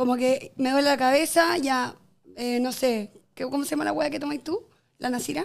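A woman speaks in a high voice with a Chilean accent. Her pace is moderate and her pitch variation ordinary. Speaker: podcast guest. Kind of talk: casual chat.

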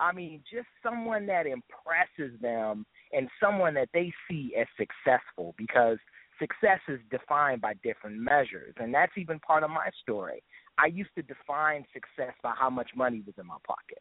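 A man's fairly high voice moves through very wide pitch swings and big swings in loudness. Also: moderate pace. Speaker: gospel hip hop artist. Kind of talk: interview.

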